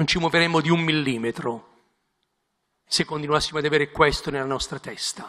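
Very fast and bright, sharp in tone, a man with a fairly high pitch talks with fairly even intonation. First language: Italian. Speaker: bishop. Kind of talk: prepared speech.

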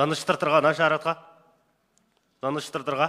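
A man speaks at a moderate pace. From Mongolia. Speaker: member of parliament. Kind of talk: parliamentary speech. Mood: critical, pointed. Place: hall. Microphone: podium.

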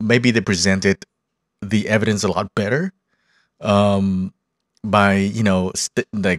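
In a dry sound with no echo and a quiet background, a man with a fairly low voice speaks at a moderate pace. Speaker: podcaster or streamer. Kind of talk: casual review commentary. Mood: relaxed, mildly critical. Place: home room. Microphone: studio mic.

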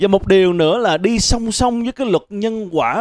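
A man talks at a fairly quick pace with very wide pitch swings, his voice dry with no echo over a quiet background. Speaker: stand-up comedian. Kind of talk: stand-up comedy monologue. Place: stage. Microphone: handheld.

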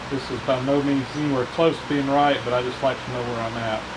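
A man's voice over noticeable background noise. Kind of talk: tutorial. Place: workshop.

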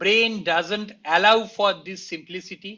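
High male pitch with a bright, sharp tone, ordinary pitch variation and a fairly slow pace.

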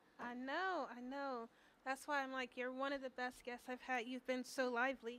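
At a moderate pace, a woman speaks with a high pitch and a bright, sharp tone. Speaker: student radio host. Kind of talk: casual chat. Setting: studio. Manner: animated. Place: studio. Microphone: studio mic.

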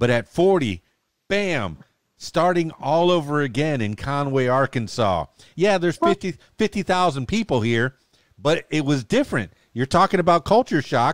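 Over a quiet background with a dry sound and no echo, a man talks at a fairly slow pace with very wide pitch swings. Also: fairly high pitch for a man. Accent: American. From South Florida. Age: 50s. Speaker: podcast host and DJ. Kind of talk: casual interview. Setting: studio. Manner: animated. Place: studio. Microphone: studio mic.

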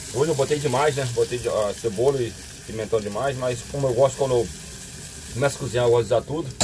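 A man's speech carries ordinary pitch variation while noticeable background noise runs throughout. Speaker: travel vlogger cooking. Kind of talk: casual cooking tutorial. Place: kitchen. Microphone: camera far.

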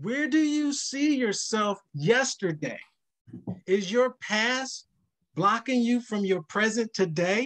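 Against a quiet background, a man talks at a very slow pace in an extremely high pitch, his intonation lively. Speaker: financial counselor; panelist. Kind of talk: virtual workshop panel. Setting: video call. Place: home room. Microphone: webcam.

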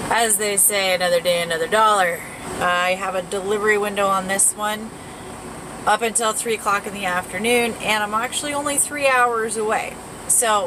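A woman speaks with ordinary pitch variation. Noticeable background noise runs beneath her. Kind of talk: casual vlog chat. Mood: annoyed at other driver. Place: car. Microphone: phone near.

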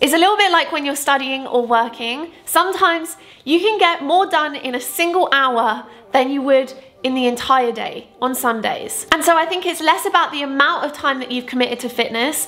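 A woman speaks at a high pitch with lively intonation. Her pace is moderate. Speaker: fitness vlogger. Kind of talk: casual vlog chat. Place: home room.

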